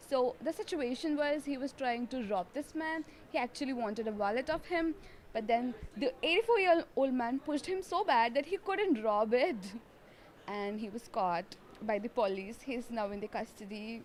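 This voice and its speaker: With an Indian accent, a woman speaks in a high pitch at a moderate pace, her intonation lively. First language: Telugu. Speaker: co-host. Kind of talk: casual chat.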